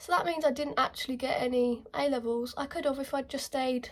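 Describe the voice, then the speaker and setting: A woman with a southern English accent at a very fast pace, her intonation lively. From England, Kent. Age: 20s. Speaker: beauty vlogger. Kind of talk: casual chat. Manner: animated.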